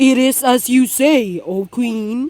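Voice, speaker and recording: In a put-on character voice, a woman speaks at a high pitch. Her pitch shows ordinary variation. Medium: read story. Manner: dignified, measured.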